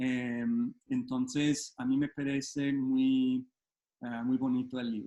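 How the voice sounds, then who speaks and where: A man talks at a very slow pace with a Colombian accent. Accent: Colombian-sounding Spanish. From United States. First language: English (speaking Spanish). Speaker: photographer and photobook editor. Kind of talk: online talk.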